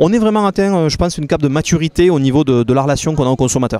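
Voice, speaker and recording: Talking at a very fast pace, a man with a southern French accent has a dark, mellow tone and ordinary pitch variation. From Béziers, southern France. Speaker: company founder. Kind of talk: interview answer.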